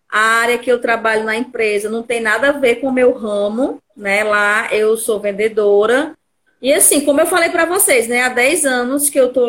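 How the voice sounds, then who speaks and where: A woman's lively intonation at a moderate pace. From Fortaleza, Brazil. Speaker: psychologist working in sales. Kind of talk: viewer call-in testimony. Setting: online live stream. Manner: talkative.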